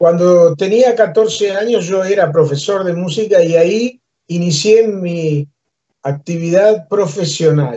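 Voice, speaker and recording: A man with a Uruguayan accent, high-pitched for a man, his tone dark and mellow, ordinary pitch variation and a fairly slow pace. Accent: Rioplatense Spanish (Uruguayan). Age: 70s. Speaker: musician and humorist. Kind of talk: interview, life story.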